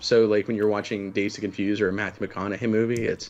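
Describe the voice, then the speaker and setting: In an American accent, a man speaks very fast at a fairly low pitch. His intonation is monotone and flat. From Oklahoma. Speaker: MMA podcast co-host. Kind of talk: casual chat.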